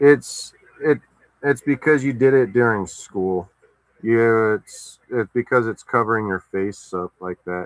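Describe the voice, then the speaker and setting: Soft-spoken, a man talks at a fairly slow pace. The sound is dry and close, with no echo. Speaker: streamer. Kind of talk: casual chat. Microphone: too quiet.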